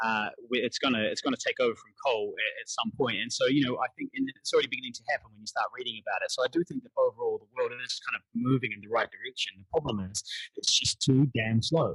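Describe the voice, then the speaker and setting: Very fast speech in a New Zealand accent, with big swings in loudness, comes through a dry, close sound with no echo. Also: man. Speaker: actor and poet. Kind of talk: podcast interview answer.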